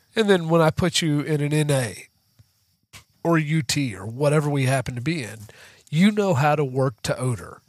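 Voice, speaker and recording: A man with a plain, everyday voice speaks at a fairly high pitch and a moderate pace. His intonation is lively, and the recording is very clean, with a silent background. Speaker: dog trainer. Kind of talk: casual interview chat.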